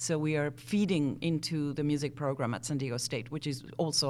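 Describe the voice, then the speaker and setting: The voice moves at a fairly quick pace with vocal fry and fairly even intonation. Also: woman. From Argentina, Buenos Aires. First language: Spanish. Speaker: cellist and music teacher. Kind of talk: interview. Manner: halting, many fillers.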